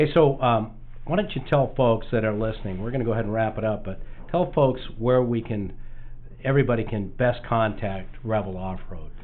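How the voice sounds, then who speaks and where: This man has a normal speaking voice at a medium pitch. He talks at a fairly quick pace with ordinary pitch variation. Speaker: podcast host. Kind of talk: casual interview. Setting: studio. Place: studio.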